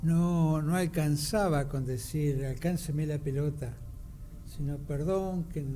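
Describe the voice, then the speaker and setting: The voice is somewhat breathy with a dark, mellow tone, moving at a very slow pace with fairly even intonation and audible room echo. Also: man, fairly high pitch for a man. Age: 70s. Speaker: radio co-host. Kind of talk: radio discussion.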